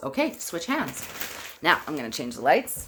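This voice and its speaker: A woman speaks loudly. Her pitch is fairly low. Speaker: labor and delivery nurse, childbirth educator. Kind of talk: guided exercise instruction. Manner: conversational, with fillers.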